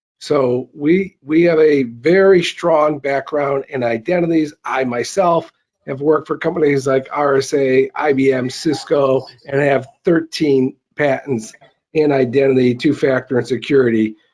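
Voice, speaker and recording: A man with a Chicago accent, fairly high in pitch, at a fairly slow pace with fairly even intonation. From US Midwest, south side of Chicago. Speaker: company CEO, presenter. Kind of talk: conference presentation.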